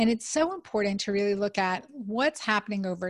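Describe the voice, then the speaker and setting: The background stays quiet. Over it, a woman talks in a somewhat breathy voice. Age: 50s. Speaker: physician and podcast host. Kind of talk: casual interview.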